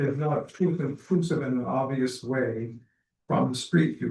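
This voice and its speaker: At a moderate pace, a man talks in a medium pitch, his voice somewhat breathy. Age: 70s. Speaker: homeowner applicant at a public meeting. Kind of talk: public meeting testimony.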